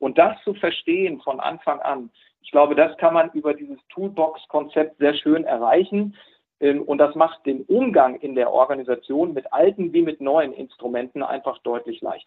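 Moderate pacing and ordinary pitch variation, with big swings in loudness. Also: man, fairly high pitch for a man. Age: 60s. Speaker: former bank executive. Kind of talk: casual interview. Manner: hesitant fillers.

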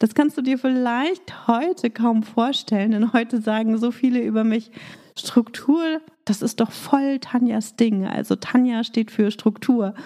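A woman speaks in a dark, mellow tone with ordinary pitch variation. Her pace is fairly slow. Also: fairly high pitch for a woman. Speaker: business coach podcast host. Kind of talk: solo podcast monologue. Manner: energetic.

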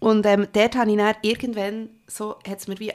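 The voice is a woman's, at medium pitch. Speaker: podcast host. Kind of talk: casual chat.

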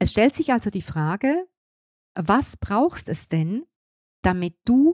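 The speech moves at a very slow pace with very wide pitch swings. The sound is dry and close, with no echo. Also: woman. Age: 50s. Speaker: business coach. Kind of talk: solo podcast monologue.

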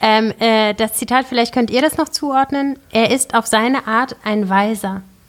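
A woman speaks in an unremarkable speaking voice, fairly high in pitch and fairly even in intonation. Her pace is fairly slow, with hardly any pauses. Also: very even loudness. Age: 30s. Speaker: filmmaker and producer. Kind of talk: casual chat.

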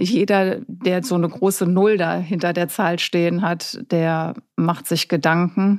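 A woman has an unremarkable speaking voice, fairly low in pitch with ordinary variation. The recording is very clean, with a silent background. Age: 50s. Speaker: journalist. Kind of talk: casual interview.

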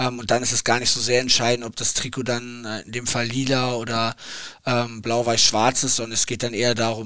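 Moving at a fairly quick pace, a man speaks at a medium pitch with a bright, sharp tone. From Hamburg, northern Germany. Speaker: football assistant coach. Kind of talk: interview. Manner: hesitant with frequent fillers.

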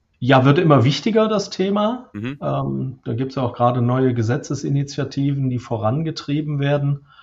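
Somewhat breathy and fairly high-pitched, a man speaks with lively intonation. He moves at a moderate pace and hardly pauses. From Lower Rhine, Germany (Krefeld). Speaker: software company executive. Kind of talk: interview. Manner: hesitant, many fillers.

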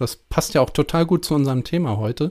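This is a normal speaking voice with ordinary pitch variation, delivered at a moderate pace. The background is silent and the recording very clean. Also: man. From northern Germany (Prussia). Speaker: podcast host, design researcher. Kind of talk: casual academic conversation.

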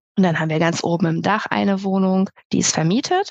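A woman with a fairly low pitch and ordinary pitch variation speaks at a moderate pace in a dry, close sound with no echo. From Lower Saxony, Germany (Melle near Osnabrück). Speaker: photographer. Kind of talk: interview. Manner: hesitant, many filler sounds.

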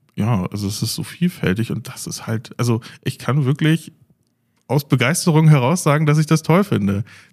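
With a somewhat breathy voice and lively intonation, a man talks at a moderate pace in a dry, close sound with no echo. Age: 30s. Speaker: IT desktop support technician. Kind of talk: casual interview. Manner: hesitant with many fillers.

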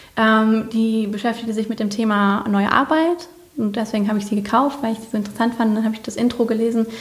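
A woman's fairly high voice at a very fast pace, with noticeable background noise. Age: 30s. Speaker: leukemia survivor and social media expert. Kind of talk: casual interview chat. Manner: animated.

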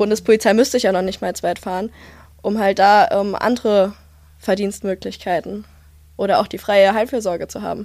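A woman at a medium pitch talks at a fairly quick pace with fairly even intonation, long and frequent pauses, and big swings in loudness. The recording is very clean, with a silent background. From Rhineland-Palatinate, Germany. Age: 20s. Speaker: police student and union youth official. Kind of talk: casual chat.

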